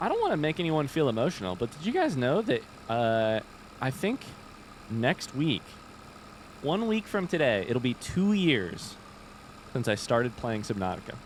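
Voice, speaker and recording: With an American accent, the voice moves at a moderate pace with long, frequent pauses over noticeable background noise. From Midwestern United States, Indiana.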